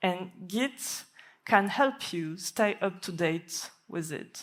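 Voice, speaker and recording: A woman with a French accent and ordinary pitch variation, in a very clean recording with a silent background. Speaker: software developer. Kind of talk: conference talk.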